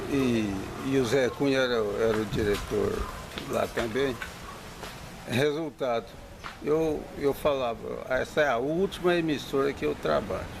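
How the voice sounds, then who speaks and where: A man speaks at a fairly slow pace with ordinary pitch variation and long, frequent pauses, over noticeable background noise. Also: medium pitch for a man. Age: 70s. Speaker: retired radio announcer. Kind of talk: interview.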